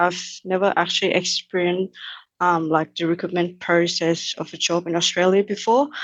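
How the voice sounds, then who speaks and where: With a Thai accent, the speaker talks at a moderate pace in a monotone, flat intonation against a quiet background. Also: woman. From Thailand, Bangkok. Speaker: engineering cadet. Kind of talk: interview. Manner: halting, many fillers.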